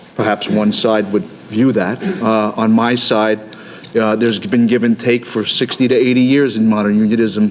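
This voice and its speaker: This man talks at a medium pitch in a flat monotone with very even loudness, and background noise is noticeable. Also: moderate pace. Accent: Brooklyn. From Brooklyn, New York. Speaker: union representative. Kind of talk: panel discussion. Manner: halting, many repetitions.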